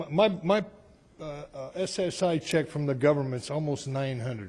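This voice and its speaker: A man speaks with a dark, mellow tone. His pitch swings very widely. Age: 60s. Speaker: public commenter. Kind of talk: public comment. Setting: city council meeting. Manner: animated.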